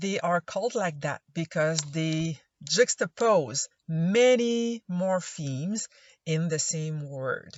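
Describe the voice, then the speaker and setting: A woman speaks very slowly in a Quebec accent. Her fairly low pitch carries lively intonation. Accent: Québécois French accent in English. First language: French. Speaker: anthropology instructor. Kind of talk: recorded lecture voice-over. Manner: hesitant, frequent uh fillers.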